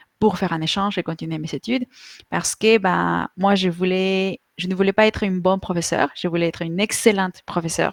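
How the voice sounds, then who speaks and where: In a very clean recording with a silent background and a dry, close sound with no echo, a woman with a Spanish accent speaks at medium pitch and a moderate pace. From Mexico. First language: Spanish (speaking French). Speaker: online Spanish teacher. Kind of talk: interview. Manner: halting, many fillers.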